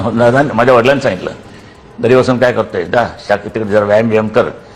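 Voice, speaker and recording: A man at a medium pitch, with noticeable background noise. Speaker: political leader giving interview. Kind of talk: interview answer, recalling childhood. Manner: blunt, sarcastic, emphatic.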